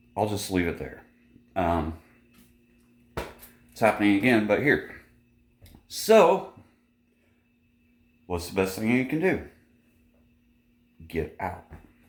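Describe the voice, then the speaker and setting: Speaking at a fairly slow pace with lively intonation and big swings in loudness, the voice breaks into long, frequent pauses amid audible room echo. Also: man, fairly low pitch for a man. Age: 40s. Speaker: vlogger. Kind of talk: casual vlog monologue.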